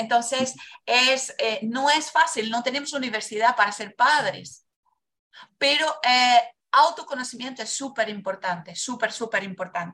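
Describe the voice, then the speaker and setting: A woman speaks with a high pitch and a bright, sharp tone. She talks at a fairly slow pace with ordinary pitch variation. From Brazil. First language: Portuguese (speaking Spanish). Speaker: biodanza facilitator. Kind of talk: casual interview, life story testimony. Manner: passionate.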